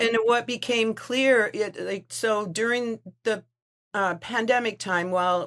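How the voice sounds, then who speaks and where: Ordinary pitch variation from a woman at a fairly slow pace. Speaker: writing coach. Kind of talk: interview. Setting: video call. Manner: halting.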